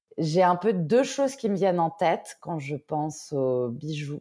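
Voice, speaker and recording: A woman speaks with a very deep, low pitch and a dark, mellow tone. Her pace is fairly slow and her intonation lively. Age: 30s. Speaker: entrepreneur. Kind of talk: casual interview.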